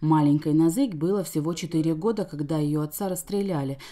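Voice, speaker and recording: A woman speaks in a very deep, low pitch with a dark, mellow tone. Her pitch varies in an ordinary way at a moderate pace. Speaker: TV news reporter. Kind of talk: TV news report narration.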